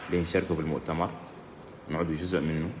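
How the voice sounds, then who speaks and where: A man talks at a moderate pace. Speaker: journalist and union candidate. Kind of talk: live stream statement. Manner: halting.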